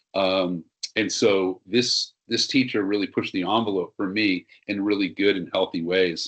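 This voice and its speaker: A man speaks in a fairly low pitch. The background is quiet. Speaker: seminar presenter for health professionals. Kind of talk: webinar presentation. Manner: fast.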